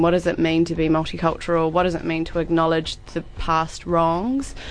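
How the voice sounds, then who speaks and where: A woman's fairly low voice with a New Zealand accent, at a moderate pace. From New Zealand, Christchurch. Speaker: theatre director and actor. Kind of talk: radio interview.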